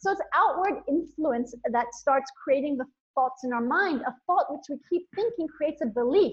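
Enthusiastic in tone, a woman with a high pitch speaks at a moderate pace with lively intonation. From India and Nepal. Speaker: motivational speaker and women's coach. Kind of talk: casual interview chat; brief guided visualization, eyes-closed imagining of lightness and inner joy. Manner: enthusiastic, flowing speech.

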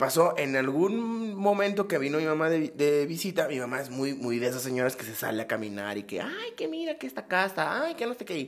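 Speaking at a fairly quick pace in an Acapulco accent, a man has a fairly high pitch with very wide pitch swings. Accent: coastal Acapulco Mexican Spanish. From Mexico, Acapulco (Guerrero coast). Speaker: podcast co-host. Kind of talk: casual chat.

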